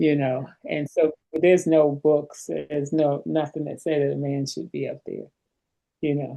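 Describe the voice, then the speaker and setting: Speaking with an American accent at a moderate pace, a woman has a very deep, low pitch, a dark, mellow tone and monotone, flat intonation. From New York. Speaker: workshop participant. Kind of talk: group discussion.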